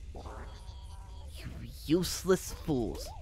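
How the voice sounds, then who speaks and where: The speaker uses a put-on character voice. Clear background noise is present. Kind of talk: comic let's-play dialogue reading. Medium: game stream. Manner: menacing, then weary and desperate.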